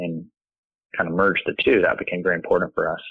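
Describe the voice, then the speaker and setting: Speaking with an American accent, a man talks. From US South, Athens, Georgia. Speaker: artist and creative director. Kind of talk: interview conversation. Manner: hesitant, many fillers.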